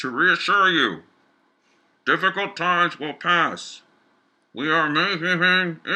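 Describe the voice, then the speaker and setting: Using a put-on character voice pitched high, a man speaks fairly slowly with fairly even intonation and long, frequent pauses. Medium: read story. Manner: vague official phrases, hard to understand.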